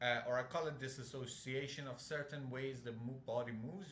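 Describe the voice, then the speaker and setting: With a non-native accent, a man speaks at a fairly quick pace and fairly high pitch, and room echo is audible. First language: not English. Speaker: fitness coach. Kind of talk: casual chat.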